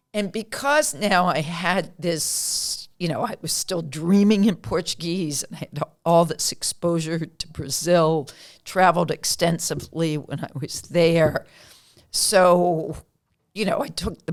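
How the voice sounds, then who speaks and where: An unremarkable speaking voice belongs to a woman talking fairly slowly at a fairly low pitch with ordinary pitch variation. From Pennsylvania, US. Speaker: county comptroller. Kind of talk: interview.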